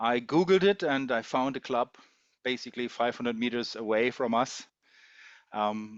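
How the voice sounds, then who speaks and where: Speaking at a moderate pace with a German accent, a man with a medium pitch and ordinary pitch variation leaves long, frequent pauses. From Germany. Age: 50s. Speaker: taekwondo umpire and customs investigator. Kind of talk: casual interview. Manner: hesitant, with fillers.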